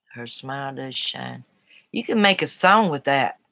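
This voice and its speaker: Her tone bright and sharp, a woman with a Southern US accent speaks with lively intonation on a very clean recording with a silent background. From US South, South Carolina. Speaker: livestreamer. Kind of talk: casual livestream chat. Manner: chatty, informal.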